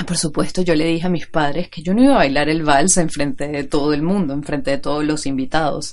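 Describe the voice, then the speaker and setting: With a Venezuelan accent, a woman talks at a very deep, low pitch and a fairly quick pace. Her pitch variation is ordinary, and the background is quiet. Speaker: podcast host. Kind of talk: scripted narration.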